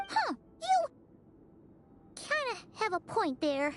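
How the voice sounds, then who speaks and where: Over music in the background, a put-on character voice at an extremely high pitch swings very widely while moving at a fairly slow pace. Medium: video game. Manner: energetic, chatty.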